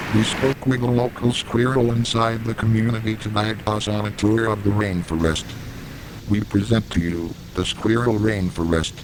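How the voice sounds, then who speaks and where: Speech comes at a moderate pace with fairly even intonation over noticeable background noise. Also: man, fairly low pitch for a man. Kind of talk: mock nature documentary narration.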